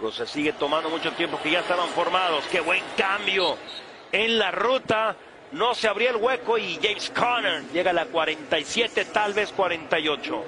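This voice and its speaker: A high-pitched man at a fairly slow pace, over noticeable background noise. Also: ordinary pitch variation. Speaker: sports commentator. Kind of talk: live play-by-play commentary.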